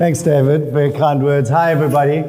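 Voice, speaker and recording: Through noticeable background noise and audible room echo, a man with a South African accent speaks at a fairly high pitch. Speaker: chief creative officer. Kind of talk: panel discussion.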